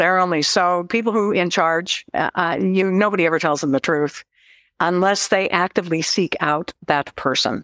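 In a very clean recording with a silent background, a woman with an Alaskan accent speaks at a fairly low pitch, the sound dry and close with no echo. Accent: Alaskan American. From Alaska (Cordova, Seldovia). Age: 70s. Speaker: novelist. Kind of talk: casual interview.

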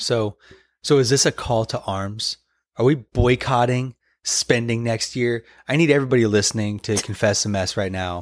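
A man has an ordinary speaking voice at medium pitch with an American accent, moderate pace and ordinary pitch variation. The sound is dry and close with no echo, a very clean recording with a silent background. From Arizona, US. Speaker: podcast co-host, minister. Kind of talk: casual chat.

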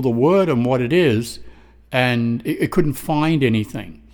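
Here a man talks at a fairly slow pace. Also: very clean recording, silent background. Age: 60s. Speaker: podcast host. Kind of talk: personal testimony monologue. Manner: halting, many fillers.

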